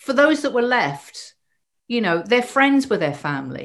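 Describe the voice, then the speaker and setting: A very clean recording with a silent background captures speech at a moderate pace. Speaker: former nurse recalling HIV ward care. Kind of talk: interview recollection.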